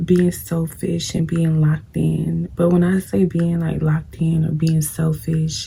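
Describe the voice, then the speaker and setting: Over noticeable background noise, a woman with a fairly low voice speaks at a fairly slow pace. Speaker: beauty vlogger. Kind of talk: casual chat while doing makeup. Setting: at home, late at night. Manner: casual, conversational.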